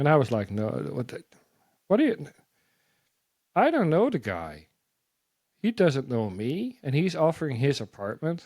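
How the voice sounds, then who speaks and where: Using a Dutch accent, a man with a fairly high pitch talks at a moderate pace, with very wide pitch swings and long, frequent pauses. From Netherlands. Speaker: missionary. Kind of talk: testimony. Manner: animated.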